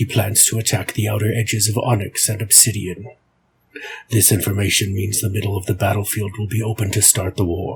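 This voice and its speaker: A man puts on a character voice at a fairly low pitch. He talks at a moderate pace. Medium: read story. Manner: thoughtful, deliberate.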